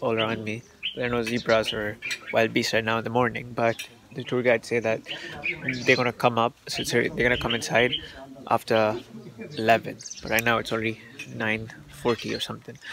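With long, frequent pauses and flat, monotone intonation, a man speaks at a moderate pace in a dry sound with no echo, amid noticeable background noise. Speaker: travel vlogger. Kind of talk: casual vlog chat. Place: open country. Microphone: phone near.

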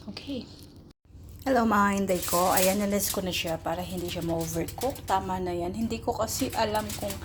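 Audible room echo around a woman talking at a moderate speed. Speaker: vlogger, overseas domestic worker. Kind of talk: casual vlog narration. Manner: chatty.

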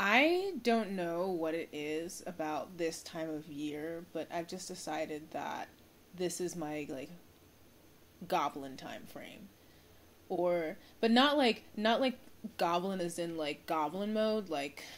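Very slow speech with ordinary pitch variation. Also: woman, fairly low pitch for a woman. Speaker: vlogger. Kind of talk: casual vlog chat. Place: home room. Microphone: phone near.

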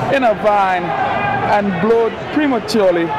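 Loud background noise under a man's dry voice with no echo. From Trinidad and Tobago. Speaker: soccer commentator. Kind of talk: live sports commentary. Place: stadium.

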